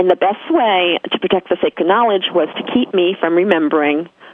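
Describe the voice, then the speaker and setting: This speaker talks at a fairly quick pace with an American accent and ordinary pitch variation over noticeable background noise. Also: woman, very even loudness. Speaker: spiritual guest on a podcast. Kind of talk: podcast interview, personal spiritual story. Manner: repeats words, some stammering.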